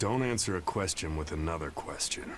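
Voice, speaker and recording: A man puts on a character voice with a very deep, low pitch and lively intonation. He moves at a fairly quick pace over clear background noise. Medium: video game. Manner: brash, irreverent.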